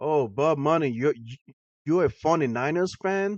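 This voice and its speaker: A man with a Boston accent at a moderate pace. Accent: Boston American. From Boston, US. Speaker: football livestreamer. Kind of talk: casual livestream chat. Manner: casual, many fillers.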